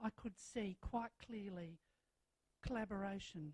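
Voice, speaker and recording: A woman speaks with an Australian accent and ordinary pitch variation. The sound is dry and close, with no echo. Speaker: school principal. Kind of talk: welcome speech. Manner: loud.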